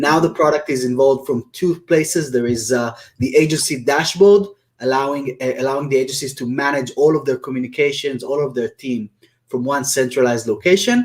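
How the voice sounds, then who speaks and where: A man with an Israeli accent talks at a fairly quick pace in a fairly high pitch, with music playing in the background. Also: ordinary pitch variation. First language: Hebrew. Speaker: software company founder. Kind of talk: webinar interview. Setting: live video webinar. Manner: hesitant, many fillers.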